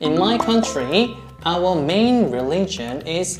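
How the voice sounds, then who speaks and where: A woman's fairly low voice in a Korean accent, with very wide pitch swings, audible room echo, and noticeable background noise. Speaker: talk show host. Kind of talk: casual chat.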